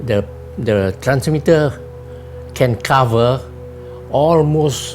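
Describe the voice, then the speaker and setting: With music in the background, the speaker talks at a very slow pace in a Singaporean accent, using ordinary pitch variation. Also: man, medium pitch for a man. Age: 80s+. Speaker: retired telecoms engineer. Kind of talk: interview. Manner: halting.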